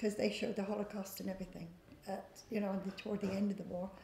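A woman speaks in a Devon accent, with audible room echo and light background noise. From England, North Devon (Barnstaple). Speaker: local elder sharing memories. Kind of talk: oral history reminiscence. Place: hall.

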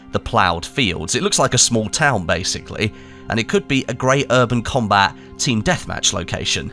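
A man at medium pitch and a moderate pace, with lively intonation and music in the background. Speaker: gaming YouTuber. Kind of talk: gaming news commentary.

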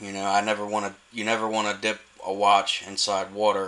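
A man's voice, fairly low in pitch. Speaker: small online watch seller. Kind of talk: casual product demonstration. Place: workshop. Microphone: phone near.

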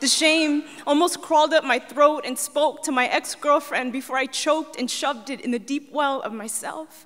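A high-pitched woman with an American accent, moderate pace and fairly even intonation against a quiet background. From US. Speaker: poet. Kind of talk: spoken word poetry performance. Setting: stage with audience. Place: stage. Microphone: handheld.

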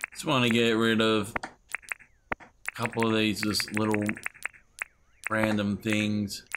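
A man with a fairly low voice speaks at a fairly slow pace in a flat monotone, with long, frequent pauses and noticeable background noise. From Australia. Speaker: gaming YouTuber. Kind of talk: let's play commentary. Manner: casual, chatty.

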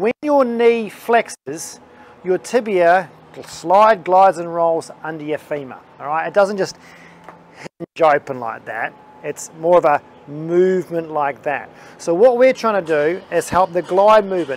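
With lively intonation and a high pitch, a man speaks at a fairly slow pace in a dry sound with no echo. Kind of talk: tutorial. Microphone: lapel.

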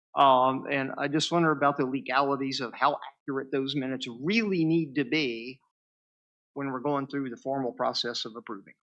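Fairly high in pitch, a man speaks with a West Virginia accent and fairly even intonation. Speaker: planning commission member. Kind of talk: public meeting remarks. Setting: board room meeting.

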